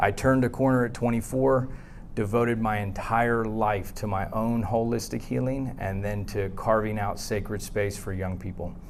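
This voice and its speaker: A man's fairly low voice with fairly even intonation and audible room echo. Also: moderate pace. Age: 40s. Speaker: psychologist and therapist. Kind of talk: conference presentation. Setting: conference room with audience, using a tethered mic.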